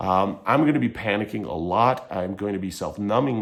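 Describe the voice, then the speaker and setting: With an American accent, a man speaks at a moderate pace and fairly low pitch with ordinary pitch variation, in audible room echo. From Michigan. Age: 30s. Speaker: vlogger on addiction and mental health. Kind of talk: personal commentary vlog. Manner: halting.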